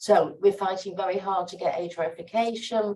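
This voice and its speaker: Here a woman speaks with an American accent at a fairly quick pace. Her medium-pitched voice has a dark, mellow tone. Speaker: sociologist and activist panelist. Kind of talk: panel Q&A answer. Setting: conference side event with audience. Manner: animated, conversational with fillers.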